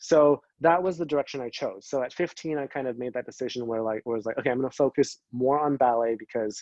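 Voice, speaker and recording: Recorded dry and close with no echo, a man with a Canadian accent has an ordinary speaking voice, a medium pitch and ordinary pitch variation. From Canada, Greater Vancouver area. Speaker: dancer. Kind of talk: interview. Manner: casual, many fillers (um, like).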